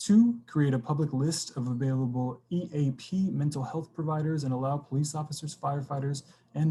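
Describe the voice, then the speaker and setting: Ordinary pitch variation runs through a man's somewhat breathy, fairly high-pitched voice. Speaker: community committee volunteer presenter. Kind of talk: public meeting presentation. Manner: quiet; halting, many fillers. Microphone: computer mic, quiet.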